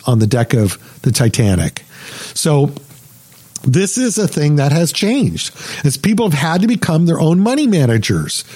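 Very wide pitch swings from a man at a moderate pace, over noticeable background noise. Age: 60s. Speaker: radio host and financial advisor. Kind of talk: financial talk radio monologue.

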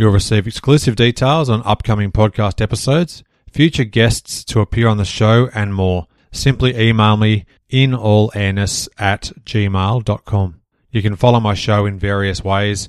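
A man with an Australian accent speaks at a moderate pace, his pitch fairly low with ordinary variation. The sound is dry and close with no echo, in a very clean recording with a silent background. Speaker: podcast host, guest on another show. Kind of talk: scripted outro promo; casual interview chat.

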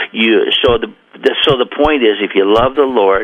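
Speaking fairly slowly in an American accent, a man talks with noticeable background noise behind him. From Oregon coast, US. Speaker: track coach. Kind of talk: radio interview. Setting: phone call.

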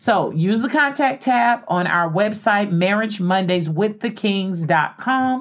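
A woman speaks at a fairly slow pace in a plain, everyday voice, medium in pitch, with lively intonation, very even loudness and hardly any pauses. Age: 40s. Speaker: radio host. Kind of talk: casual chat.

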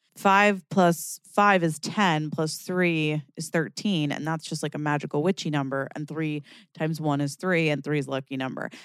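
A woman with a very deep, low pitch speaks at a moderate pace with hardly any pauses. The sound is dry and close with no echo. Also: very clean recording, silent background. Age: 30s. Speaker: podcast host. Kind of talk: solo casual monologue. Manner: animated; laughs often.

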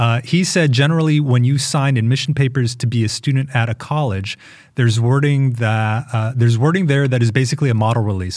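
A somewhat breathy voice at a very fast pace, with ordinary pitch variation. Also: man. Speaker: podcast host. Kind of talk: casual chat about news.

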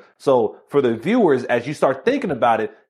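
Very wide swings mark this man's pitch. Behind him, things stay quiet. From Miami, Florida. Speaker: law enforcement officer and keynote speaker. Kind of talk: interview conversation. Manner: fast.

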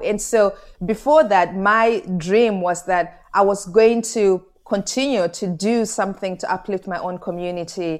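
A woman speaks in a Zimbabwean accent at a medium pitch. Her intonation is fairly even and her pace moderate. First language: Shona. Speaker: author and humanitarian speaker. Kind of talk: interview conversation.

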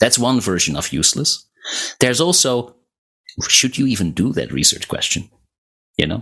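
With vocal fry and very wide pitch swings, a man talks at a moderate pace in a medium pitch, leaving long, frequent pauses. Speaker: academic researcher. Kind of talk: casual podcast interview. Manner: unflappable, calm.

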